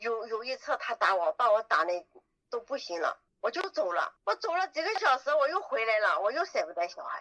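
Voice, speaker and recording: A woman projects a raised voice with a bright, sharp tone and a high pitch. She talks fairly quickly with very wide pitch swings in a dry, close sound with no echo. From Yunnan, Dali. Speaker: trafficking survivor. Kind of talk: interview testimony.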